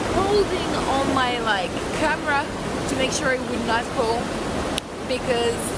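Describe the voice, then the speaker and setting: The woman talks at a fairly slow pace. Her voice sounds dry with no echo, over loud background noise. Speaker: travel vlogger. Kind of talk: casual vlog chat. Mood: playful, laughing. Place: waterside. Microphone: phone near.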